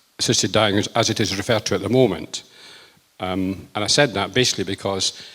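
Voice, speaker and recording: With a Lancashire accent, a man speaks at a fairly low pitch in a bright, sharp tone. His pitch varies in an ordinary way. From northern England, Lancashire. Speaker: politician. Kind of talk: rally speech. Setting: rally with audience. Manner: hesitant, many fillers.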